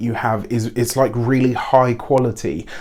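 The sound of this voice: At a moderate pace, a man speaks at a medium pitch with fairly even intonation and a slightly mellow tone.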